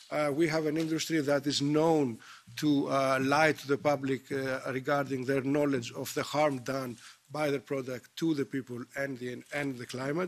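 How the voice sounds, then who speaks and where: With a Greek accent, a man talks at a moderate pace in a fairly high pitch and a monotone, flat intonation. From Greece. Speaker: politician. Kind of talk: committee speech. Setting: parliamentary committee. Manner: halting, many fillers.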